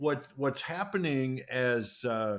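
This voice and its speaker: A man with a medium pitch speaks at a fairly slow pace in an unremarkable speaking voice. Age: 60s. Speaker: podcast host. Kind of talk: podcast interview.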